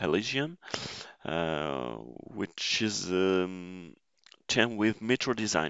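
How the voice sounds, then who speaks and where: A man speaks with a non-native accent. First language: French. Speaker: system engineer, tech tutor. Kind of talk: tutorial. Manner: halting, many fillers.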